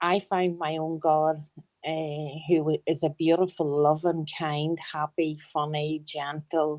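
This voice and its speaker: A woman speaks very slowly in a strong Northern Irish accent. Her voice is very deep and low, with flat, monotone intonation. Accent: broad Northern Irish. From Northern Ireland. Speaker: caller. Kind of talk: testimony. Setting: group voice chat.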